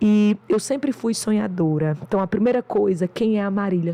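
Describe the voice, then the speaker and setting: Someone speaks at a fairly slow pace with a northeastern Brazilian accent. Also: woman. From Brazil, interior of Rio Grande do Norte. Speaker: doctor and business mentor. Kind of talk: podcast interview.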